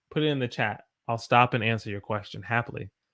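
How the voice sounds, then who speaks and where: A man with a Southern US accent speaks very fast at a medium pitch, with ordinary pitch variation. The recording is very clean, with a silent background. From US South. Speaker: English teacher. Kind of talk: live-stream English lesson. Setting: live stream with chat.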